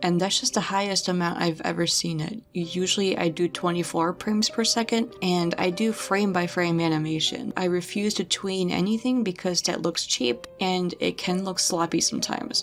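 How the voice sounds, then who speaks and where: A soft-spoken woman talks at a moderate pace with hardly any pauses, her medium-pitched voice showing ordinary pitch variation. Her loudness stays very even despite noticeable background noise. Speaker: animator and YouTuber. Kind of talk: casual vlog update. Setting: at home late at night. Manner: quiet, soft-spoken.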